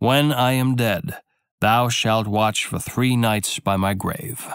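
A man speaks at a medium pitch with a dramatic tone and ordinary pitch variation. His delivery is very slow, and the recording is very clean with a silent background. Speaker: audiobook narrator. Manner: measured, storyteller's cadence with dramatic, character-voiced dialogue.

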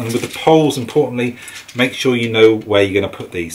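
The speaker uses ordinary pitch variation over light background noise. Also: man. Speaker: bikepacking gear reviewer. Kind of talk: tutorial. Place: garage.

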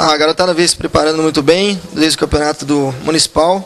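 A man speaks with a high pitch and fairly even intonation. Light background noise is audible. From Brazil. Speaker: youth football coach. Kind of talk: interview. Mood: calm, confident. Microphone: handheld.

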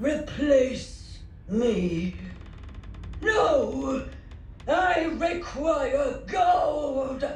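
This is a put-on character voice, delivered at a very slow pace. Long pauses come often, and there is a slight echo. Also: man, extremely high pitch for a man. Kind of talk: game character dialogue. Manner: indignant, demanding. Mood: agitated refusal.

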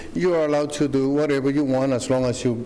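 A man is speaking. His pace is fairly quick. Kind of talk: public hearing testimony. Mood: earnest, slightly nervous. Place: hall. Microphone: podium.

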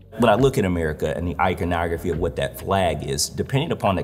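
A man talks at a very fast pace in a very deep, low voice. There is light background noise. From Detroit, Michigan. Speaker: visual artist. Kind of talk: interview monologue. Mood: earnest, reflective. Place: hall. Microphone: lapel.

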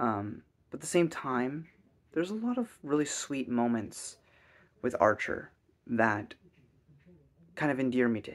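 At a fairly slow pace, a man speaks with long, frequent pauses. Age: 20s. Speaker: YouTuber reviewing TV shows. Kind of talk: casual solo review monologue. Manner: hesitant, many fillers. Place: home room. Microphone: webcam.

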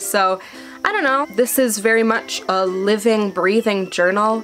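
Ordinary pitch variation marks a woman's voice, with faint music in the background. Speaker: travel vlogger. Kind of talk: casual vlog chat. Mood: warm, slightly nervous, laughing. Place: home room. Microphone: phone near.

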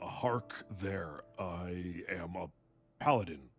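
A man puts on a character voice that is raspy and very deep, speaking at a very slow pace with ordinary pitch variation as faint music plays in the background. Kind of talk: archaic, lofty.

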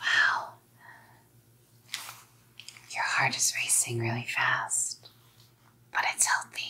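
Whispering slowly in a put-on character voice, the speaker has a husky, rough edge and vocal fry. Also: woman.

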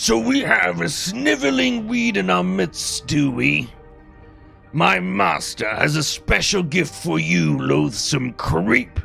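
A man's put-on character voice at medium pitch and fairly slow pace, with clear music in the background. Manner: contemptuous, derisive.

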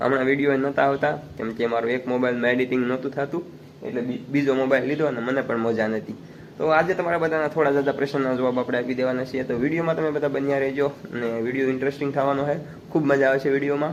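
A man with a plain, everyday voice and a fairly high pitch speaks with fairly even intonation. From Gujarat, Rajkot district (Saurashtra). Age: 20s. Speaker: village vlogger. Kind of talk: casual Q&A vlog.

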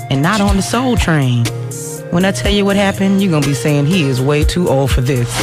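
A woman speaks with clear music in the background. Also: dry sound with no echo. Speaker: radio DJ. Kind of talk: radio DJ aircheck. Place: studio. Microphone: studio mic.

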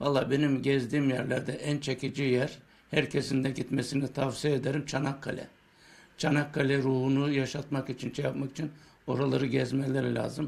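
Delivery stays flat and monotone. Words come at a moderate speed. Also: man, fairly high pitch for a man. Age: 70s. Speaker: war veteran and antique collector. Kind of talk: interview answer. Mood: proud, earnest. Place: home room. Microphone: handheld.

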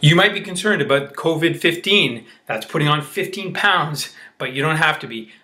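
With an ordinary speaking voice, a man talks at a moderate pace in a fairly high pitch, with ordinary pitch variation and big swings in loudness. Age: 40s. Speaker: self-help channel host. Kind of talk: direct-to-camera talk.

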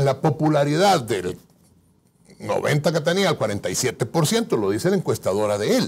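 Using vocal fry, a man speaks at a fairly slow pace while his pitch swings very widely. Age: 50s. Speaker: guest. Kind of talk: political interview. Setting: studio. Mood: critical, combative. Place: studio. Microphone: lapel.

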